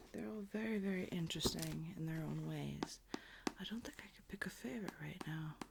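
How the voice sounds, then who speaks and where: The speaker is soft-spoken and talks at a fairly quick pace. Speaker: ASMR creator. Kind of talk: casual talk to camera.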